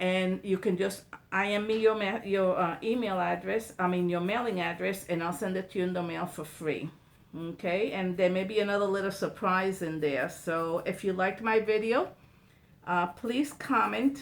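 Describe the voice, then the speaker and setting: Using an unremarkable speaking voice, a woman speaks at medium pitch and a moderate pace with ordinary pitch variation. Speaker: painting teacher. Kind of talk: tutorial. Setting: livestream video.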